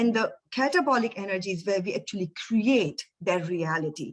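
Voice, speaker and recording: At a moderate pace, a woman speaks with a somewhat breathy medium-pitched voice and lively intonation. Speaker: energy coach and speaker. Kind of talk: webinar presentation.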